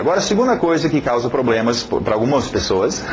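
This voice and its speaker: Speaking very fast at medium pitch with a non-native accent, a man is heard with audible room echo and noticeable background noise. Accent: foreign accent in Portuguese. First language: English (speaking Portuguese). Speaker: English teacher. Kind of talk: lecture. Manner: halting.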